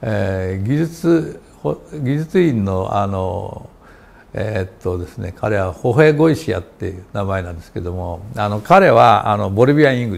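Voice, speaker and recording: Speaking at a moderate pace, a man with a fairly low pitch makes very wide pitch swings and big swings in loudness. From Japan. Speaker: chemistry professor. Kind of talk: interview. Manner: halting, many fillers. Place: office. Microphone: lapel.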